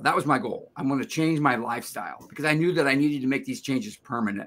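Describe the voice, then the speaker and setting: The speaker is a man with a bright, sharp tone. His pitch sits fairly high. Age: 70s. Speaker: longevity coach and video creator. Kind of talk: interview. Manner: halting.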